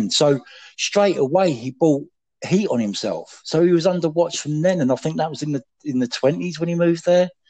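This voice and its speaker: A man with an English accent, fairly high-pitched, at a moderate pace with ordinary pitch variation. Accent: British, English. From England. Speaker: podcast guest. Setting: phone. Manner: refined, eloquent delivery he says he puts on for the phone.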